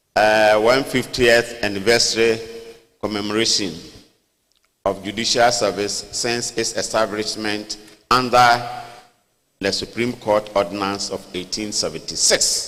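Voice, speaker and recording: A man's fairly low, monotone voice with flat intonation and long, frequent pauses. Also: fairly slow pace. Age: 70s. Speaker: traditional chief. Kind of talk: formal speech. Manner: formal.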